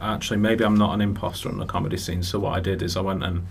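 Noticeable background noise runs under the clip. A man talks at a very fast pace. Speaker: comedian and author, radio guest.

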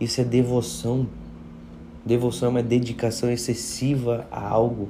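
Audible room echo surrounds this man's voice. He speaks at a fairly slow pace with a medium pitch. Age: 20s. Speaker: pastor. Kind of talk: devotional sermon. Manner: casual, conversational.

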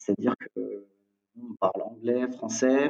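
A man is speaking. His pitch is medium and his intonation fairly even. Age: 20s. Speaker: entrepreneur. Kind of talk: interview. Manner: halting.

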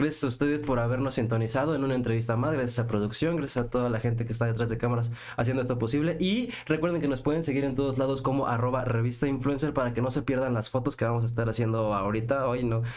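A man with a Mexican accent talks at a very fast pace with hardly any pauses, at a medium pitch, with fairly even intonation and very even loudness, over noticeable background noise and audible room echo. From Mexico. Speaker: podcast host. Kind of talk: interview.

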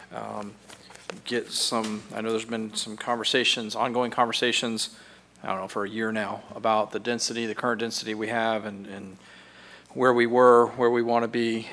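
A man's flat, monotone delivery at medium pitch and moderate pace, with noticeable background noise. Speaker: pastor and city official. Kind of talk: prayer and public meeting talk.

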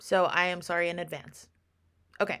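A woman speaks in a bright, sharp and animated tone. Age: 20s. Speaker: podcast co-host. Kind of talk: casual chat. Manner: animated, laughing often.

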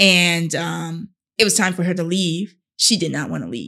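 A woman with an American accent speaks in a bright, sharp tone at a fairly low pitch, with vocal fry. Her pitch varies in an ordinary way. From North Carolina. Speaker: teacher and model. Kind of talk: interview conversation.

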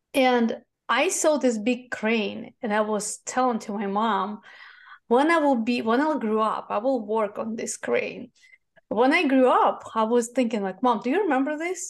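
Against a quiet background, a woman with a Russian accent talks at a fairly slow pace in a high pitch with ordinary pitch variation. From Russia, Moscow. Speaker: e-commerce agency founder. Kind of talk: interview.

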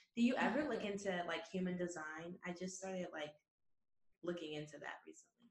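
A woman talks at a fairly quick pace in a fairly low pitch with ordinary pitch variation. It is an ordinary speaking voice. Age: 20s. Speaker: podcast host. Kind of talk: casual chat.

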